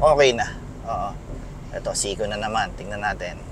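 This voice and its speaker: Amid noticeable background noise and audible room echo, a man talks at a moderate pace with a fairly high pitch and ordinary pitch variation. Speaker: car reviewer. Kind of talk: test drive commentary. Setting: in a car. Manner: casual, conversational.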